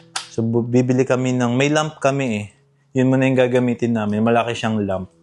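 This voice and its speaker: A man speaks at a fairly quick pace with fairly even intonation, an unremarkable speaking voice and a medium pitch. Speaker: vlogger. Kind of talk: casual vlog. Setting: in a car.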